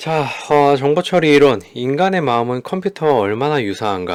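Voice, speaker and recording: On a very clean recording with a silent background, a man of medium pitch speaks with very wide pitch swings. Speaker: psychology lecturer. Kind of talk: lecture. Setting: home studio recording. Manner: animated.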